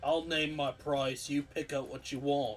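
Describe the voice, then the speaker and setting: A man's put-on character voice, fairly high in pitch, at a moderate pace over clear background noise. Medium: actual play. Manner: gruff, blunt, simple-minded.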